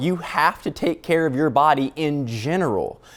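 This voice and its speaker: A man's fairly high voice with ordinary pitch variation and a slight Louisiana accent. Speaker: news producer. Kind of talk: casual chat.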